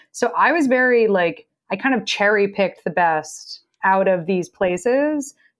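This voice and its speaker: Here is an unremarkable speaking voice, a woman with an American accent. Her pitch is medium, with ordinary variation. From Texas. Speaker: film producer. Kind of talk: interview.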